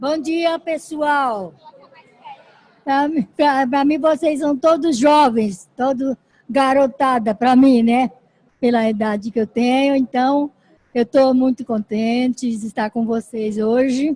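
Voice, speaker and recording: A woman's high, dark, mellow voice at a very slow pace, with ordinary pitch variation and a dry, close sound with no echo. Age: 80s+. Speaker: great-grandmother and active senior. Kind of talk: conference talk. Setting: stage with audience. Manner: halting.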